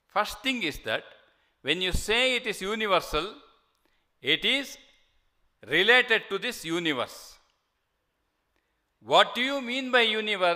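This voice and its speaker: Speaking at a fairly slow pace with long, frequent pauses, a man projects a raised voice at a high pitch, his tone bright and sharp and his pitch variation ordinary. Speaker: monk and lecturer on scripture. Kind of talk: lecture. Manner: halting with fillers.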